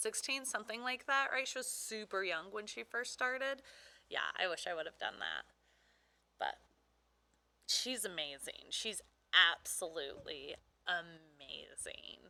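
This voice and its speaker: A woman with a fairly high pitch, vocal fry and very wide pitch swings speaks at a fairly slow pace with long, frequent pauses. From Brazil. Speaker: aspiring wrestler and livestreamer. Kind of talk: casual livestream chat reading viewer comments. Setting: livestream, earlier in a pool. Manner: casual, filler-heavy.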